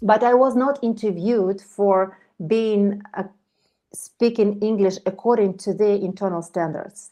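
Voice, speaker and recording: A woman with a Ukrainian accent at a medium pitch and moderate pace, her intonation fairly even. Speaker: project management expert. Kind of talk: online meetup talk.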